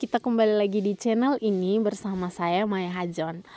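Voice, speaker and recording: A woman's voice with ordinary pitch variation, in a dry, close sound with no echo, on a very clean recording with a silent background. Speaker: education YouTuber. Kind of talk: tutorial. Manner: quiet.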